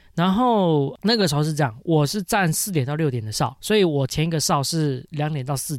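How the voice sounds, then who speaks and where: A man with a normal speaking voice, fairly high in pitch, talks at a fairly quick pace with lively intonation and hardly any pauses in a very clean recording with a silent background. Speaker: podcast co-host. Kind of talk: casual chat.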